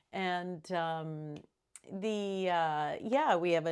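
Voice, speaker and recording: Recorded very cleanly against a silent background, a woman with a fairly low pitch speaks at a very slow pace. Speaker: astrology and tarot reader. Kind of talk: solo video reading. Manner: halting.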